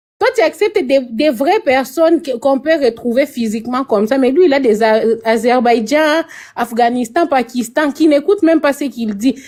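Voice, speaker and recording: Her pitch high and her intonation lively, a woman speaks with a Congolese accent. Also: moderate pace. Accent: Congolese French accent noticeable. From DR Congo, Kinshasa. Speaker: participant in a TikTok live debate. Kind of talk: casual heated debate.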